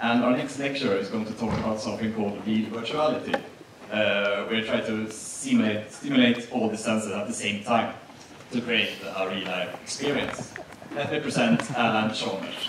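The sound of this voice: This man talks at a moderate pace with a fairly low pitch and ordinary pitch variation. His tone is fairly bright, and room echo is audible.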